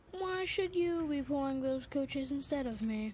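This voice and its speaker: Over clear background noise, a woman does a put-on character voice at a high pitch. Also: moderate pace. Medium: read story. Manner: grumbling, cross.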